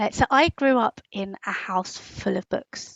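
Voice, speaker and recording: With a British accent, a woman talks at a medium pitch. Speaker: writer and magazine editor. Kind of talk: interview. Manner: many fillers and false starts.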